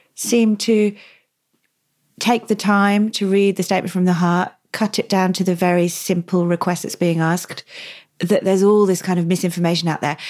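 A woman with a British accent at a moderate pace, medium in pitch, on a very clean recording against a silent background. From England. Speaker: podcast host. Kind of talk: interview.

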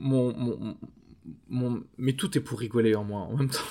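The man's voice has a dark, mellow tone, a medium pitch and fairly even intonation. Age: 30s. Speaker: podcast producer. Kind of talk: casual chat. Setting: café terrace.

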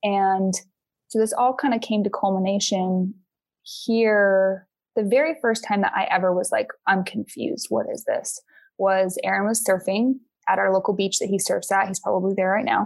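A woman with an ordinary speaking voice talks at a moderate pace and medium pitch, with ordinary pitch variation, over a quiet background. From Utah. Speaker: environmental advocate. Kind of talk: casual chat.

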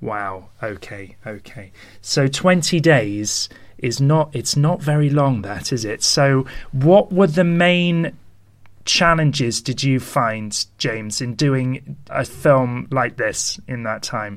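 With a British accent, a man talks at a very slow pace using lively intonation. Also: medium pitch for a man. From London, UK. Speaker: podcast host. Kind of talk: casual interview chat.

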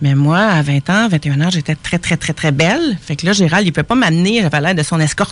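With a Quebec accent, a woman speaks at a fairly low pitch. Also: ordinary pitch variation. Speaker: painter. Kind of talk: casual radio interview. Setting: radio studio.

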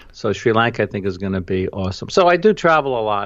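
The speaker has a New York accent. The background is quiet. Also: man. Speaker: travel photographer and educator. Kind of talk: interview.

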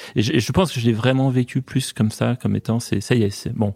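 A man talks at a fairly quick pace with a plain, everyday voice at a medium pitch. His intonation stays fairly even, and the sound is dry and close with no echo. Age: 50s. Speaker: company founder. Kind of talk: interview.

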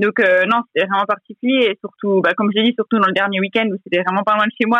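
Medium-pitched female voice in a monotone, flat intonation at a fairly quick pace. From eastern France, Franche-Comté. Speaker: professional cyclist. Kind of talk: interview.

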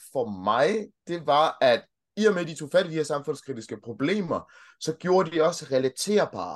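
Lively intonation marks this man's high-pitched voice. He speaks at a fairly slow pace against a quiet background. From Denmark. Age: 30s. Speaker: childcare worker and podcaster. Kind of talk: casual interview chat. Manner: hesitant, repeats words.

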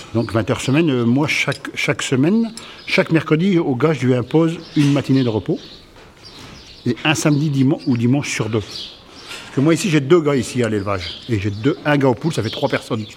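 Noticeable background noise sits behind a man speaking at a fairly quick pace in a fairly high pitch. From northern France, Somme. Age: 50s. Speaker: former farmer, ex-prisoner, farm supervisor. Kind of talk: testimony. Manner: halting, repeats words.

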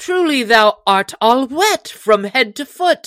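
A woman uses a put-on character voice at a high pitch and a slow pace, with lively intonation and a fairly bright tone in a dry, close sound with no echo.

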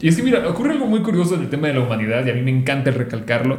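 This man talks at a very fast pace. His pitch swings very widely, and the room echo is audible. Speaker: doctor. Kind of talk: casual chat.

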